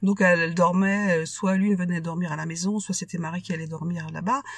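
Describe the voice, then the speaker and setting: Somewhat breathy, a woman speaks at a moderate pace in a fairly low pitch with fairly even intonation. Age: 60s. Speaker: widowed mother. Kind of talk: testimony. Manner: halting.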